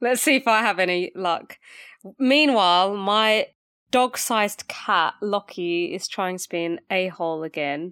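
In an ordinary speaking voice, a woman of medium pitch talks at a fairly slow pace with lively intonation. The recording is very clean, with a silent background and a dry, close sound with no echo. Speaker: true crime podcast host. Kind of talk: casual chat.

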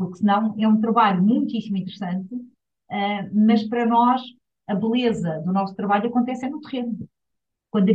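A woman with a fairly high pitch speaks at a fairly quick pace, her voice somewhat breathy and her intonation fairly even. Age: 50s. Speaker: UN agency director. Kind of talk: interview. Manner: hesitant fillers.

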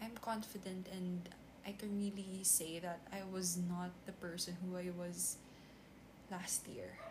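A woman with a Filipino accent and a medium pitch speaks at a fairly slow pace in a monotone, flat intonation, with noticeable background noise. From Philippines. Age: 20s. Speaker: podcaster. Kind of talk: unscripted solo monologue. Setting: at home desk recording on tablet.

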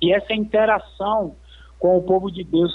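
Moderately paced, a man's high voice shows a normal amount of pitch movement. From Salvador, Bahia, Brazil. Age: 30s. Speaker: missionary, rehab centre manager. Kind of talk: radio interview, testimony.

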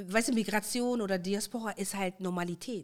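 A woman's normal speaking voice at medium pitch, with ordinary pitch variation. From Germany, Moroccan Tashelhit-speaking family. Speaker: guest. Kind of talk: casual chat.

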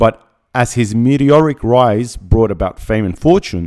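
Speaking at a medium pitch, a man uses lively intonation and an animated tone. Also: very clean recording, silent background. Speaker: podcast host and motivational speaker. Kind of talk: pep talk. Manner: animated, motivational, driven.

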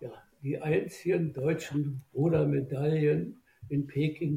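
A man speaks in a fairly high voice with a dark, mellow tone. It is somewhat breathy, with fairly even intonation. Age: 80s+. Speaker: boat designer, former rower. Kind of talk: interview. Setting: remote recording.

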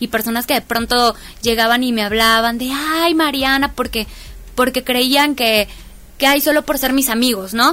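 A woman with a high voice speaks at a moderate pace in a bright, sharp tone, her intonation fairly even. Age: young. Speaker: community activist. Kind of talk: interview.

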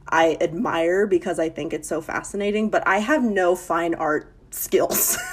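Hardly pausing, a woman talks at a fairly slow pace against noticeable background noise. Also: medium pitch for a woman, ordinary pitch variation. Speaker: podcast guest. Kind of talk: casual chat.

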